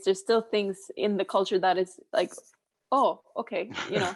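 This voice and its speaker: A woman with a Swedish accent speaks at medium pitch and a moderate pace with ordinary pitch variation, the sound dry and close with no echo. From northern Sweden. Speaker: chef. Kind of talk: podcast interview.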